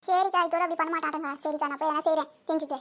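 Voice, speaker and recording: A woman's put-on character voice, squeaky and extremely high-pitched, very fast and monotone with flat intonation. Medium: cartoon. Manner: gentle, conciliatory.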